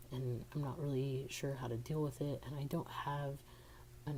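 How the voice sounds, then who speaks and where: Speaking at a moderate pace, a man with a medium-pitched, somewhat breathy voice keeps his intonation flat and monotone. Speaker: vlogger. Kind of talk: personal vlog. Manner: halting, many fillers.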